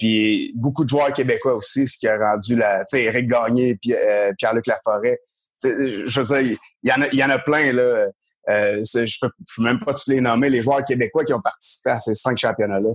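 With an unremarkable speaking voice, a man talks at a moderate pace, keeping his intonation fairly even and his loudness very even. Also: medium pitch for a man. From rural Quebec. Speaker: former baseball player and coach. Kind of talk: casual chat.

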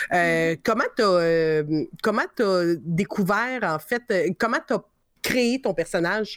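On a very clean recording with a silent background, a woman speaks very slowly at a medium pitch, with lively intonation and very even loudness. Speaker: podcast host. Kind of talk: casual chat.

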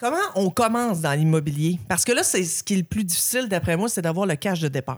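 A woman with an ordinary speaking voice talks at a fairly quick pace with hardly any pauses. Her pitch is fairly low, her intonation lively, and her loudness very even. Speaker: podcast host. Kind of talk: casual chat.

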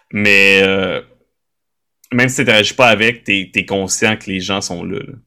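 Speaking at a fairly slow pace, a man with a fairly low pitch and a bright, sharp tone keeps a fairly even intonation while his loudness swings widely. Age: 30s. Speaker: tabletop role-playing game creator and streamer. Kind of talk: casual interview conversation.

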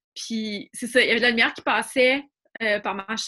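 This woman has a fairly high pitch. Her tone is bright and sharp. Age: 40s. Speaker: former magazine editor. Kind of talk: casual interview.

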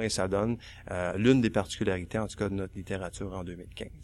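A man's unremarkable speaking voice at a fairly quick pace with fairly even intonation, on a very clean recording with a silent background. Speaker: author and college teacher. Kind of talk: panel discussion.

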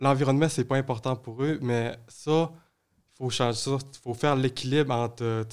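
A man's medium-pitched voice comes through monotone and flat at a fairly slow pace, in a very clean recording with a silent background. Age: young. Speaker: youth environmental advocate. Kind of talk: casual chat. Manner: halting.

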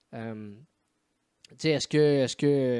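Dark, mellow tone from a man with a Quebec accent. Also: dry, close sound with no echo. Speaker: podcast host. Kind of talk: casual chat. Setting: remote call.

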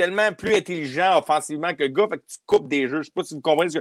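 A man speaks in an ordinary speaking voice, fairly high in pitch with ordinary pitch variation. The recording is very clean with a silent background and has a dry, close sound with no echo. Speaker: hockey podcast co-host. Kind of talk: casual chat.

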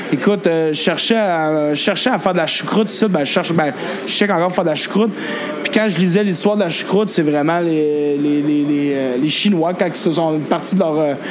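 A man speaks at a high pitch with ordinary pitch variation. Noticeable background noise and audible room echo are present. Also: hardly any pauses. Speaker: restaurant owner and chef. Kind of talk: casual interview. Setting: in his restaurant. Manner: fast.

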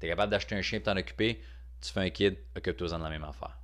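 With a Quebec accent, a man speaks in a very deep, low voice with vocal fry and lively intonation. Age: 30s. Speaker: stand-up comedian. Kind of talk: podcast monologue. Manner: casual, hesitant.

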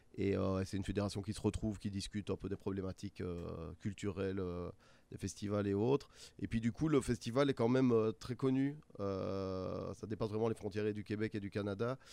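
A man with a fairly low pitch and a dark, mellow tone talks at a moderate pace with ordinary pitch variation. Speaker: music festival organizer. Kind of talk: interview.

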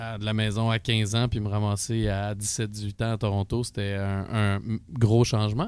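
Flat, monotone intonation from a man with a fairly low pitch. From Quebec (Asbestos area). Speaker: musician and studio owner. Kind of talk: casual chat.

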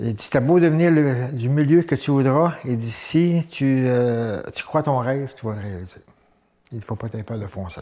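A man speaks at a medium pitch and a moderate pace, his tone dark and mellow. The background is quiet. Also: ordinary pitch variation. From Gaspésie, Quebec (Saint-Gabriel). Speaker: former professional wrestler. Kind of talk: interview. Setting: studio.

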